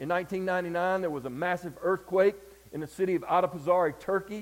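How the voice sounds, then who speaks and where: A man speaks with a Southern US accent. His voice sits high, and he talks at a moderate pace. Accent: Southern US (Georgia). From US South, Georgia. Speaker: preacher. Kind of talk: sermon. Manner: animated.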